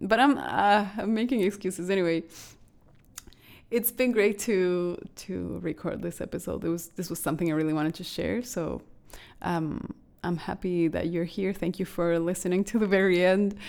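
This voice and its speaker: A woman speaks at a medium pitch and a moderate pace with a non-native accent. Her pitch varies in an ordinary way. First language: not English. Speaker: podcast host, astrologer and painter. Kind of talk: solo podcast monologue. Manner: halting, with false starts; warm, gentle.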